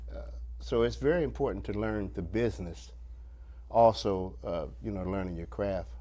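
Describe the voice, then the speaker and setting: Against audible room echo, a man with an American accent speaks at a moderate pace in a very deep, low pitch, his tone dark and mellow, with vocal fry and very wide pitch swings. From Ohio, Springfield. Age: 60s. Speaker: bass player. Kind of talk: interview. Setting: studio.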